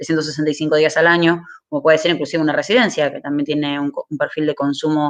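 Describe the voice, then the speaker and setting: The speaker talks at a very fast pace with an Argentine accent. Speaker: renewable energy speaker. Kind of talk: webinar presentation.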